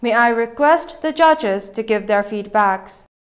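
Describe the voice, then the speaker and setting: Fairly high-pitched woman's voice with lively intonation, a fairly slow pace and a quiet background. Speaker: TV show host. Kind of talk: presenting, formal emcee announcements. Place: studio. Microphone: lapel.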